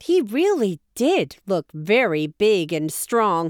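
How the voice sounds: A natural reading voice carries over a background that stays quiet.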